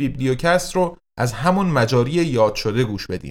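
In a very clean recording with a silent background, a man speaks in an ordinary speaking voice at medium pitch and a moderate pace, with ordinary pitch variation. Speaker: podcast host, translator and publisher. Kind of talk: scripted narration.

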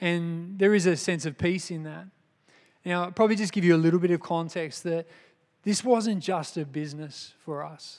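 On a very clean recording with a silent background, a man with an Australian accent talks at a moderate pace in a high voice with fairly even intonation and big swings in loudness. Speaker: lay preacher and businessman. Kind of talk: sermon. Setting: church. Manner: halting.

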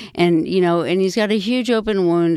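Over noticeable background noise, a woman with a fairly low pitch and ordinary pitch variation speaks at a fairly quick pace. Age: 50s. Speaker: pelvic-floor physical therapist. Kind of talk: casual interview.

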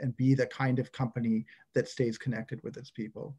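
Speaking at a fairly quick pace, a man uses a medium pitch. His tone is dark, mellow and somewhat breathy. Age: 40s. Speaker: construction data executive and leadership coach. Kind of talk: interview conversation. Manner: hesitant with frequent repetitions.

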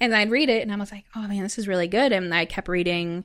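A woman's normal speaking voice with an American accent, medium in pitch with ordinary pitch variation, at a fairly quick pace in a very clean recording with a silent background. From US Midwest, southern Wisconsin (Madison). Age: 20s. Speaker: former gang member and trafficking survivor, author. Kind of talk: testimony.

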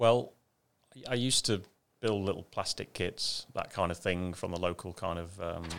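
In an English accent, a man talks at a moderate pace with a very deep, low pitch and ordinary pitch variation, leaving long, frequent pauses. The recording is very clean, with a silent background. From England, Ashby de la Zouch (East Midlands). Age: 50s. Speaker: RC car company executive. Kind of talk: interview.

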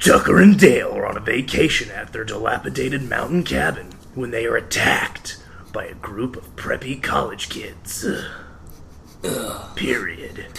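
A man performs a put-on character voice, gravelly and gruff, whispering and growling at a moderate pace with long, frequent pauses. His loudness swings widely, with clear background noise behind him. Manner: dry, hard.

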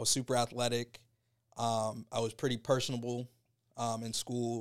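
At a moderate pace, a man with a medium pitch and an unremarkable speaking voice is heard on a very clean recording with a silent background. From Tampa, Florida. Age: 30s. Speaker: lawyer and rapper. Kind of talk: interview.

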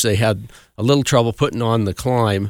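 On a very clean recording with a silent background and a dry, close sound with no echo, a man with an American accent speaks at medium pitch and a moderate pace with ordinary pitch variation. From Colorado, Cascade near Pikes Peak. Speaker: club historian. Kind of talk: radio interview. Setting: studio.

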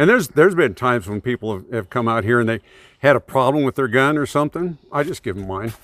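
This man speaks very fast with an American accent, medium pitch and lively intonation. The recording is very clean with a silent background and a dry, close sound with no echo. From northern California near the Oregon border. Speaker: shooting range club president. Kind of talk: casual interview.

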